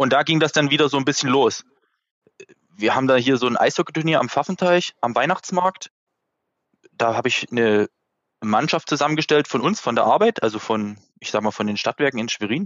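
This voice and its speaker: In a Saxon accent, the speaker moves at a fairly quick pace broken by long, frequent pauses. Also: man, fairly high pitch for a man. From Saxony, Dresden. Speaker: amateur ice hockey player. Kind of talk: casual chat.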